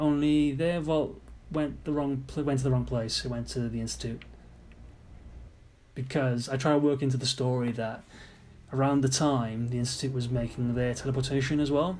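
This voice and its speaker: With a British accent, this voice moves at a moderate pace through long, frequent pauses, its intonation fairly even, its tone somewhat breathy, and room echo clearly audible. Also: man, medium pitch for a man. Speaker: game modder commenting on own mod. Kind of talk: gameplay commentary. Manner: casual, halting.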